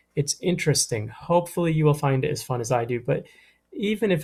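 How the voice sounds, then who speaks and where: A somewhat breathy man at a moderate pace. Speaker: middle school history teacher. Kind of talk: recorded lesson. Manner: casual, with fillers.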